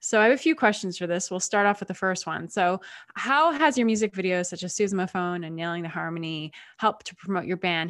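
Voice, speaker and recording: An unremarkable speaking voice goes at a fairly quick pace with ordinary pitch variation, on a very clean recording with a silent background. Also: woman. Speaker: co-host. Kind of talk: casual interview.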